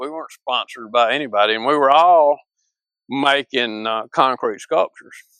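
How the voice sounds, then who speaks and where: Speaking at a fairly quick pace with a Mississippi accent, a man has a fairly high pitch, lively intonation and a bright, sharp tone, recorded with a dry, close sound with no echo. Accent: Mississippi Southern US. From northern Mississippi. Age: 60s. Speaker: sculptor. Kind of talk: interview. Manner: halting.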